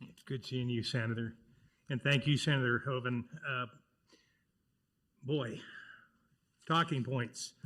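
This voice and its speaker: A man's bright, sharp voice with a Minnesotan accent, fairly slow with long, frequent pauses, fairly even intonation and big swings in loudness. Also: medium pitch for a man. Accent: Minnesota. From Arkansas. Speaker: county commissioner. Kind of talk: public speech.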